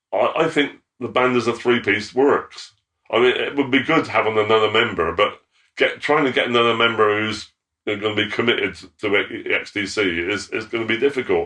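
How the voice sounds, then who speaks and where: A man with a West Country accent speaks at a fairly quick pace, his medium-pitched voice showing ordinary pitch variation. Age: 70s. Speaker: former band roadie. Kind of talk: interview. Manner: halting.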